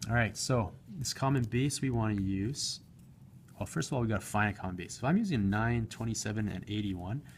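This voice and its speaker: Somewhat breathy, a man talks fairly quickly at a medium pitch with ordinary pitch variation. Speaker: math teacher. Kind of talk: tutorial. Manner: fast.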